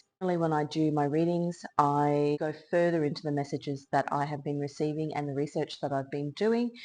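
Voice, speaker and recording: A woman with an Australian accent, very deep and low in pitch, dark and mellow in tone, at a fairly quick pace, over a quiet background. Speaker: tarot reader and illustrator. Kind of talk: tarot reading monologue.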